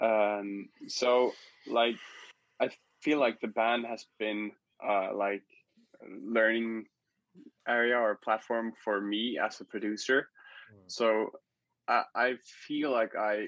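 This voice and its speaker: A man talks at a very slow pace, medium in pitch, with fairly even intonation. Long, frequent pauses break up his speech. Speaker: musician. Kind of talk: casual interview.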